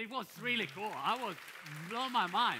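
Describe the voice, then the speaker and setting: A man with an Italian accent speaks in a raised, projected voice. His intonation is lively and his tone bright and sharp. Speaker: event host. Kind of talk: live stage moderation. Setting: stage with audience.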